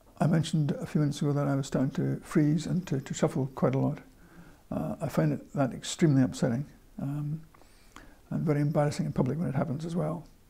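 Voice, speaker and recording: Vocal fry runs through a dark, mellow tone. The pace is very fast, with ordinary pitch variation. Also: man, fairly high pitch for a man. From northern England. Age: 60s. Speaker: person living with Parkinson's disease. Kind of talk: interview. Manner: halting, frequent repetitions.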